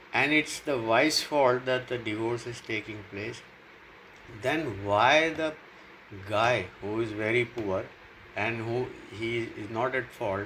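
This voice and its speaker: Over noticeable background noise, a man talks very slowly at a medium pitch with ordinary pitch variation. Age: 60s. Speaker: YouTuber. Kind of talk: casual monologue, opinion vlog. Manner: halting, frequent fillers.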